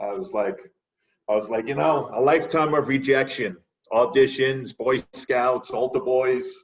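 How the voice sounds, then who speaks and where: Lively in intonation, a man with an American accent speaks at a fairly slow pace and medium pitch. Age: 60s. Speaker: actor. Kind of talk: casual chat.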